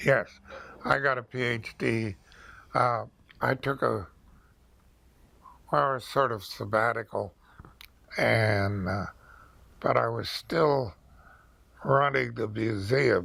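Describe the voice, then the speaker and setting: Using a put-on character voice, a man with an American accent talks very slowly, with long, frequent pauses. His medium-pitched voice has a bright, sharp tone, vocal fry and ordinary pitch variation. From Pennsylvania. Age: 80s+. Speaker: retired museum director and archaeologist. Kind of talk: oral history interview. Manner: halting, many fillers.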